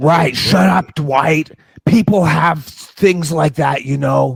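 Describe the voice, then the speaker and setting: Using a put-on character voice, a man speaks at a very slow pace. The voice is raspy and fairly high in pitch. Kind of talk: comic overacting. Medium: comedy sketch. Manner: slow, dim, boastful.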